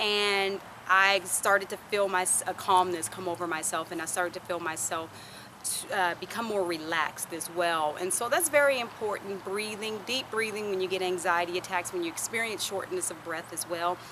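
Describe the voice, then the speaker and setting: Woman's voice at medium pitch with an American accent, ordinary pitch variation, a moderate pace and noticeable background noise. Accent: southern US, comes out at times. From US South. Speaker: vlogger. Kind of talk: personal vlog talk. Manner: casual, conversational.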